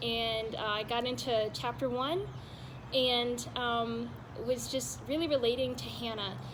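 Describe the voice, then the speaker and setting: Over noticeable background noise, a woman with a Southern US accent speaks at a fairly slow pace. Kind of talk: personal faith testimony to camera. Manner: soft-spoken, gentle.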